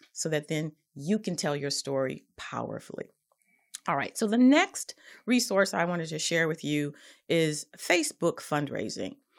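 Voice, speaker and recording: A woman speaks with an unremarkable speaking voice. Her pitch is fairly low and her intonation lively. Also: very clean recording, silent background. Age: 50s. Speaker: podcast host and nonprofit consultant. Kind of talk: casual instructional talk.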